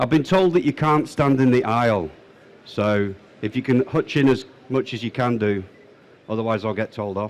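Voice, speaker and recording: A man with a Manchester accent talks at a moderate pace and medium pitch, with ordinary pitch variation and long, frequent pauses, in a very clean recording with a silent background. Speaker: presenter giving a talk. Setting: in-person room with an audience. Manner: hesitant, many fillers.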